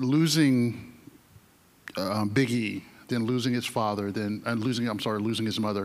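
This is a man with a normal speaking voice at a medium pitch. His intonation is fairly even. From North Carolina. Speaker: newspaper reporter, moderator; moderator. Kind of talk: onstage interview. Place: stage. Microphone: handheld.

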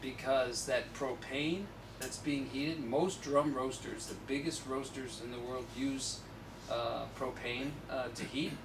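Noticeable background noise sits behind a man speaking with fairly even intonation. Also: fairly slow pace. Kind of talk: talk and Q&A answer. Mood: relaxed, conversational. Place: shop. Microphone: camera far.

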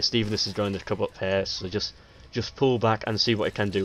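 There is noticeable background noise as a man with a fairly low pitch talks at a fairly quick pace, his intonation fairly even. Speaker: game commentator. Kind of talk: strategy game commentary, casual play-by-play. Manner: thinking aloud, halting, with many fillers; conversational, low-key.

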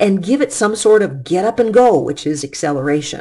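Very wide pitch swings, a dark, mellow tone and a moderate pace, in an American accent. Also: woman. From US Midwest, Detroit. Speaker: physics teacher. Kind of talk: lecture. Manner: casual, conversational.

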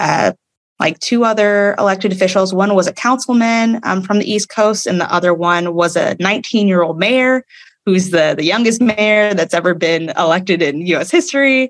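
Keeping a very even loudness, a woman talks at a moderate pace with a medium pitch and ordinary pitch variation. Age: 20s. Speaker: judge. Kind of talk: interview. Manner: halting.

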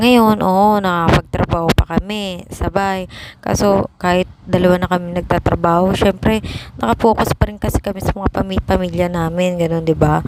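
Loud background noise sits behind a woman's voice. She speaks at a moderate pace with fairly even intonation. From Philippines. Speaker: vlogger. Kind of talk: casual vlog monologue.

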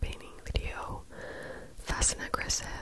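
A woman whispers in a gentle tone. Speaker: ASMR creator. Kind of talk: ASMR mouth sounds and rambling to camera. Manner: soft, gentle, repeated words as a trigger. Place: home room. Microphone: handheld.

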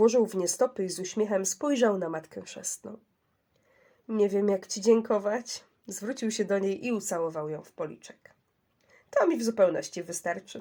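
This woman's voice has a dark, mellow tone, a medium pitch and ordinary pitch variation. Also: moderate pace. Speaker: audiobook narrator. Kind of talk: bedtime story reading aloud, gentle fairy-tale narration.

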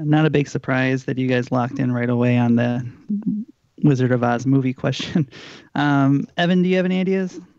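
Heard here is a plain, everyday voice moving at a fairly quick pace with ordinary pitch variation. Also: man, medium pitch for a man. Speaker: podcast host and trivia player. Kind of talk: casual banter, trivia game. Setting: video call.

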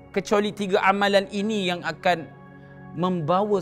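A man's voice is heard. Faint music plays in the background. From Malaysia. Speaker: religious teacher and Quran reciter. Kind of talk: religious sermon. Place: empty room.

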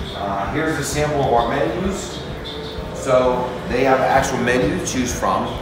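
Amid noticeable background noise and audible room echo, a man talks with ordinary pitch variation. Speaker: community staff guide. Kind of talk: tour guide commentary. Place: hall. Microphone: phone near.

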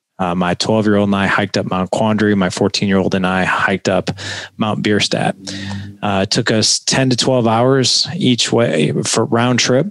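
A man with a plain, everyday voice speaks at a moderate pace, fairly low in pitch with ordinary pitch variation and very even loudness. The background is quiet and the sound dry with no echo. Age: 40s. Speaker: podcast host. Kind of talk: casual interview. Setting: video call. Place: studio. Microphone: headset.

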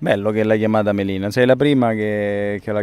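Fairly low in pitch and fairly quick, a man talks with a dry sound and no echo. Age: 30s. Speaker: actor and radio host; actor, radio host. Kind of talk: interview about faith. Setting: outdoors by a lake. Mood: reflective, personal, sincere. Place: waterside.

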